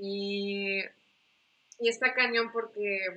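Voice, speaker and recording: A woman's voice has a bright, sharp tone and a fairly high pitch. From Mexico, Yucatán (Mérida); born in US, moved at 11. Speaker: pastors' daughter, church member. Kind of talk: casual faith chat and testimony. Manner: halting, repeats words.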